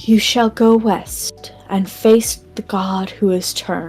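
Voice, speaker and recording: A woman uses a put-on character voice that is raspy and medium in pitch, at a fairly slow pace. Faint music plays in the background. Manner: prophetic, eerie.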